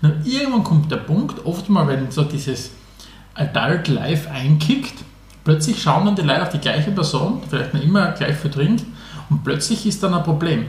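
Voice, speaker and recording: A man talking at a moderate pace, with a fairly high pitch and ordinary pitch variation, is heard over noticeable background noise in audible room echo. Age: 30s. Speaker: podcast co-host. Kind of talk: casual chat.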